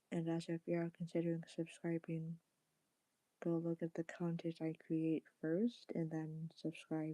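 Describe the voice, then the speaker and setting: A soft-spoken woman talks at a fairly low pitch with a dark, mellow tone. Her intonation is monotone and flat, and the sound is dry and close with no echo. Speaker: live streamer. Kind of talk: casual chat. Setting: live stream.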